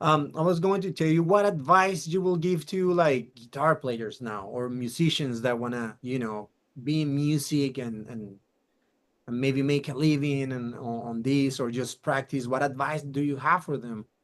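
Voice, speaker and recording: A man with an ordinary speaking voice, fairly high in pitch, with ordinary pitch variation and a moderate pace. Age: 40s. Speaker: podcast host. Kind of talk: casual interview.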